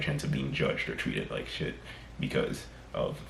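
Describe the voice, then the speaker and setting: With noticeable background noise and audible room echo, a man speaks at a moderate pace with an American accent. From mixed: America, Trinidad and England. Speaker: vlogger. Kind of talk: casual monologue vlog. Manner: unscripted, halting with self-corrections.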